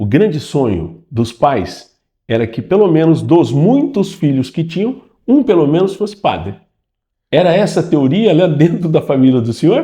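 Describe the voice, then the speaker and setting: A man with a dark, mellow tone and vocal fry talks at a moderate pace, his pitch swinging very widely. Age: 60s. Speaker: interviewer, channel host. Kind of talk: interview. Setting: office of the diocesan curia.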